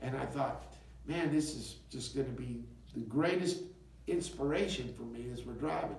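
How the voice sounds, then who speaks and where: Audible room echo and noticeable background noise accompany a man speaking at a moderate pace with an American accent. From US South, West Memphis, Arkansas. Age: 60s. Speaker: singer-songwriter. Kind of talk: interview. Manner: halting.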